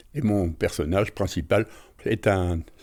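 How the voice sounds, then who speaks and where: A man talks in a fairly low pitch with a dark, mellow, somewhat breathy tone and ordinary pitch variation. The recording is very clean, with a silent background. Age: 80s+. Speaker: retired amateur author and painter. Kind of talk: interview. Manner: hesitant, with fillers.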